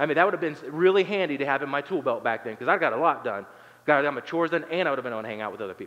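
Lively intonation runs through this man's speech. He talks very fast. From southern Ohio, Appalachia. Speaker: pastor. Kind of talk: sermon. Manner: hesitant fillers, conversational.

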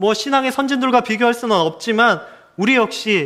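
A man talks fairly fast, recorded very cleanly against total silence. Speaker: pastor. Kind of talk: sermon. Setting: church.

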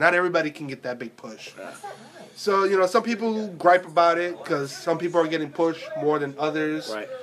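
Over noticeable background noise, a man talks at a very fast pace with lively intonation. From New York. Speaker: tattoo shop podcast co-host. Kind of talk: casual chat.

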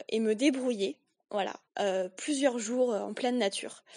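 A woman's fairly high voice with ordinary pitch variation against a quiet background. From rural France. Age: 20s. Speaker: podcast co-host. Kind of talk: personal storytelling. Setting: solo home recording.

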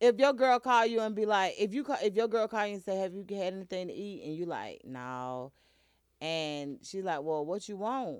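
A woman with a Southern US accent talks at a moderate pace, her pitch swinging very widely. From US South. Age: 40s. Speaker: internet radio host. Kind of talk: casual chat. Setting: studio. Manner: animated.

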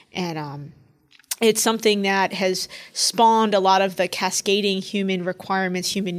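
With a normal speaking voice in an American accent, a woman talks at a moderate pace and medium pitch, her intonation fairly even but her loudness swinging widely. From New York City. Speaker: federal emergency management administrator. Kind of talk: panel interview.

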